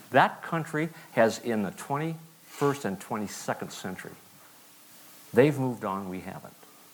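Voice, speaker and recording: Very wide pitch swings from a man at a medium pitch. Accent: American. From Montana. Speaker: war veteran. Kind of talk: sermon. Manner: halting.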